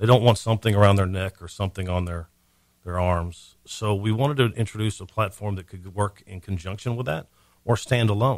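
On a very clean recording with a silent background, a man speaks in a normal speaking voice at a fairly low pitch and a moderate pace, with ordinary pitch variation. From Montgomery County, Texas. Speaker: senior care business owner. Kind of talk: radio interview. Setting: radio studio.

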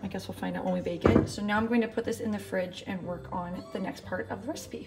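Music plays clearly in the background. The speech moves at a fairly quick pace. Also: woman. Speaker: home baker vlogger. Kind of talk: casual vlog chat. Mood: cheerful, chatty. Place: kitchen. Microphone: phone near.

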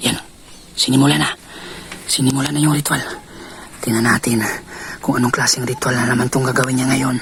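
Amid noticeable background noise, a man at medium pitch speaks in an excited tone at a very fast pace. Long, frequent pauses break up his speech. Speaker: paranormal vlogger. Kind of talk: whispered live narration while secretly filming. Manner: hushed, breathless, tense whisper, fearful and excited; animated, gasping 'oh my God' reactions.

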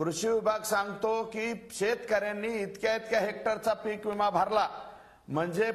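A man's voice, high in pitch. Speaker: guest. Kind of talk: debate argument. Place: studio. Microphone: lapel.

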